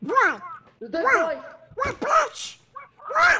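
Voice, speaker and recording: Putting on a character voice, a man talks at an extremely high pitch with very wide pitch swings. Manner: aggressive, confrontational.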